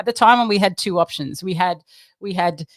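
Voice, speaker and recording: A woman with an Australian accent, animated in tone, at a moderate pace, dry with no echo over a quiet background. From Australia, Queensland. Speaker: design trainer; presenter, design trainer. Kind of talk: presentation. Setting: live stream. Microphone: webcam.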